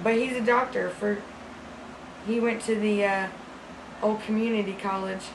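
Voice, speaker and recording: Noticeable background noise accompanies speech at a fairly slow pace. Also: woman. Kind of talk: improvised comedic monologue. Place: home room.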